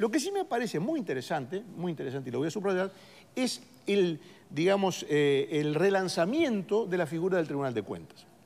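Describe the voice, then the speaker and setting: The man's pitch sits high. He speaks with lively intonation. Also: moderate pace. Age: 60s. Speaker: political commentator. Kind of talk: panel discussion. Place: studio. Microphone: lapel.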